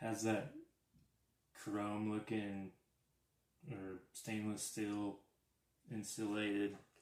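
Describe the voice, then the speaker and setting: A man speaks quietly at a fairly low pitch. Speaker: RC hobby YouTuber. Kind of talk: live stream unboxing. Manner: quiet, keeping voice down.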